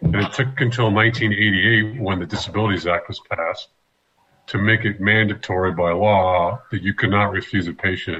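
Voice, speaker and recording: A man with an ordinary speaking voice talks at a moderate pace, his fairly low pitch held in fairly even intonation. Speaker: trauma surgeon. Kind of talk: medical explainer in radio talk show.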